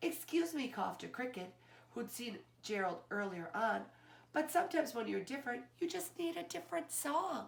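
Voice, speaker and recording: A woman uses a put-on character voice with a high pitch. She swings her pitch very widely at a moderate pace. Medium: read story. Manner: mocking.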